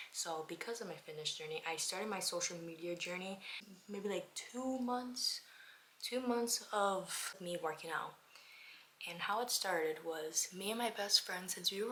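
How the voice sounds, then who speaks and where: A woman with an American accent speaks at a medium pitch and a moderate pace. Her pitch varies in an ordinary way. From Miami, Florida. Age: 20s. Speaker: lifestyle vlogger. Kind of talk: casual get-ready-with-me chat.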